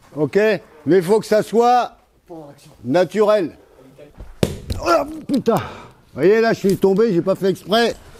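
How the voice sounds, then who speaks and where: A man's high-pitched voice moves at a very slow pace, with noticeable noise in the background. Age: 60s. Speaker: muay thai coach. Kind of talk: martial arts class instruction. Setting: boxing gym. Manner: casual, hesitant with many fillers.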